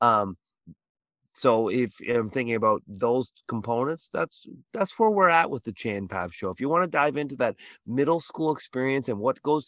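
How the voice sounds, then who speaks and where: A man with a Canadian accent has an unremarkable speaking voice, a medium pitch, lively intonation and a moderate pace. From Canada, Toronto. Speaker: middle school teacher, podcast host. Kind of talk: podcast interview.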